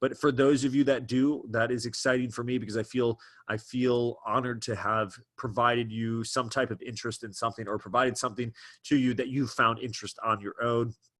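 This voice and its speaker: A man at medium pitch, talking at a fairly quick pace. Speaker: trading educator, webinar host. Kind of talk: live webinar presentation. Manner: fast; animated.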